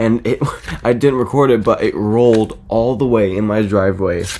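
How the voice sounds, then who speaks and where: A man with an American accent, fairly low in pitch with ordinary pitch variation, over noticeable background noise. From California. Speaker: YouTuber. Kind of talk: casual vlog. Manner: halting.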